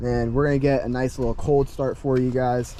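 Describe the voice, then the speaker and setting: A man speaks at a medium pitch in a monotone, flat way, with noticeable background noise. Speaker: car enthusiast YouTuber. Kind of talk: casual car review walkaround. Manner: halting, many fillers.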